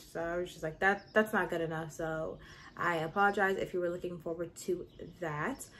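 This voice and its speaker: The speaker, a woman, talks at a moderate pace. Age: 20s. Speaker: YouTuber and nursing student. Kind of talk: casual vlog chat. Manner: animated.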